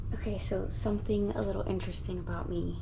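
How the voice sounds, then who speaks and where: Whispering at a fairly quick pace, a woman is heard. Audible room echo and noticeable background noise surround her. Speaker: gardening vlogger. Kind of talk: casual vlog narration. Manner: hesitant, many fillers.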